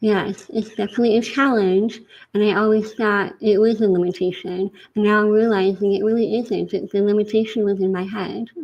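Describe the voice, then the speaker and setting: This woman's voice has a medium pitch and a monotone, flat intonation. She talks at a fairly quick pace. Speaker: life coach and author. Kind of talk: interview.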